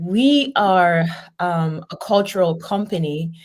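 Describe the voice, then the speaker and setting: The woman's voice is somewhat breathy. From Cameroon. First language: Lamso. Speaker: business owner. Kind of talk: radio interview.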